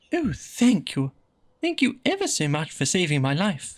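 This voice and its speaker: On a very clean recording with a silent background, a squeaky put-on character voice at a middle pitch talks at a moderate pace. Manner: grateful.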